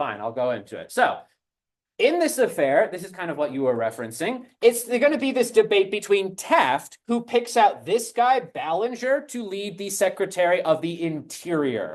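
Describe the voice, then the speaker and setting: With an animated tone, a man talks at a moderate pace in a high voice, his pitch swinging very widely and his loudness varying a lot, against a quiet background. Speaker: high school history teacher. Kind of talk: classroom lecture. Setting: classroom with students.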